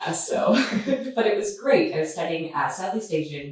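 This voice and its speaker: In a Canadian accent, a woman talks at a moderate pace with audible room echo. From Canada. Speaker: asset management executive. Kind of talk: podcast interview.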